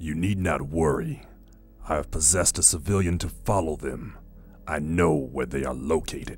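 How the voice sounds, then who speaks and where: A man's put-on character voice, very deep and low, at a moderate pace over clear background noise. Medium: audio drama.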